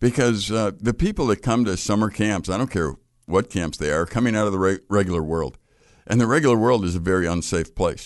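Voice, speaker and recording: A man's fairly low voice with an American accent, fairly quick and with ordinary pitch variation, over a quiet background. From US Midwest, Chicago. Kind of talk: radio interview. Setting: radio studio, live broadcast.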